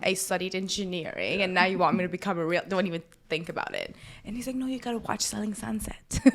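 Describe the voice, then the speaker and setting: Very fast speech with a Persian accent and lively intonation. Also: woman. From Iran. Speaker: realtor and social media personality. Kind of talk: casual interview chat.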